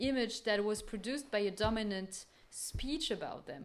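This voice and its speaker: The speaker talks at a moderate pace with ordinary pitch variation, and audible room echo surrounds the voice. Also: woman. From France. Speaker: art curator and researcher. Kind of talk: lecture. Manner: hesitant, many fillers.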